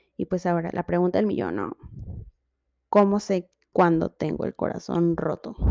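A moderate pace with long, frequent pauses, an animated tone and lively intonation, in a Mexican accent, with a dry, close sound and no echo. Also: woman, fairly low pitch for a woman. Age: 20s. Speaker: podcast host. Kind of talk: casual monologue.

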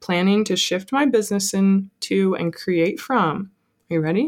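An ordinary speaking voice with an American accent and ordinary pitch variation. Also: woman. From Colorado. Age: 20s. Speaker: small business owner. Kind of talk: casual chat.

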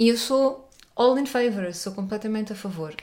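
Using a normal speaking voice, a woman talks at a moderate pace with a fairly high pitch and fairly even intonation. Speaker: podcast host. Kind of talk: casual interview chat.

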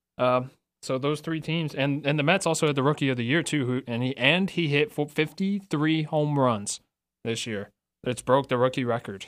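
A man talks at a fairly high pitch and a moderate pace, with ordinary pitch variation, in an ordinary speaking voice. The recording is very clean, with a silent background. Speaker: radio co-host. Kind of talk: radio DJ patter, casual sports chat. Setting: radio studio, live stream. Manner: easygoing, upbeat, conversational.

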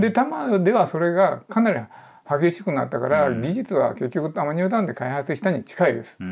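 Fairly quick and high-pitched, a man's voice moves through very wide pitch swings and big swings in loudness. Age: 70s. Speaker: urban planner. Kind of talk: interview. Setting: podcast recording.

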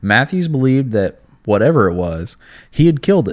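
A man at a fairly quick pace and medium pitch, a plain, everyday voice, on a very clean recording with a silent background. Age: 20s. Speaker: podcast co-host. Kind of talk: reading aloud case narration.

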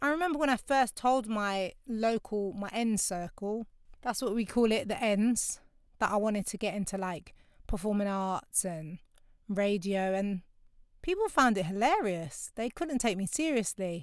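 Lively intonation marks a woman's fairly high voice in a London accent, delivered at a fairly slow pace. The recording is very clean, with a silent background. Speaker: podcast host. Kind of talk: podcast monologue reflecting on a book chapter. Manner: casual, conversational.

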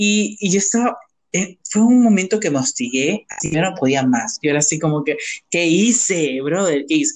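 With an animated tone and very wide pitch swings, a man talks at a moderate pace. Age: 20s. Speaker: podcast co-host. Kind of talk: casual chat.

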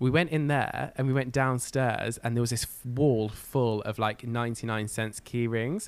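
With an English accent, a man talks at a moderate pace and medium pitch, using fairly even intonation and hardly any pauses. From northwest England (Cumbria). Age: 20s. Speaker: musical theatre performer and podcaster. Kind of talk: casual chat.

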